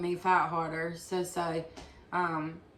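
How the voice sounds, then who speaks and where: In a room with audible echo, a woman with a fairly low pitch speaks at a fairly slow pace in a monotone, flat intonation. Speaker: person with chronic illness. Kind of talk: testimony. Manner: halting.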